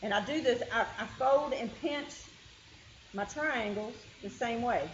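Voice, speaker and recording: Someone with a Kentucky accent speaks at a fairly slow pace with ordinary pitch variation, and room echo is audible. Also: woman, high pitch for a woman. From Kentucky hills. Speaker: quilting teacher. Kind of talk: tutorial. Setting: meeting room with group.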